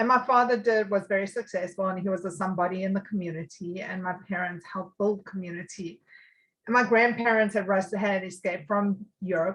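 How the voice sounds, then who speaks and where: Somewhat breathy, a woman with a South African accent talks at a fairly quick pace with fairly even intonation. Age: 50s. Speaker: recovering addict. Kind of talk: interview. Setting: podcast.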